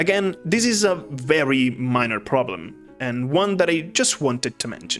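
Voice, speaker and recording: A man with a non-native accent at a medium pitch, very wide pitch swings and a moderate pace, with music in the background. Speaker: video game commentator. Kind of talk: video essay narration.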